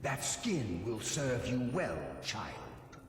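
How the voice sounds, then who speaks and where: In a put-on character voice, a man speaks at medium pitch and a very slow pace with a solemn tone. A clear echo surrounds the sound. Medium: read story. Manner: imperious, solemn.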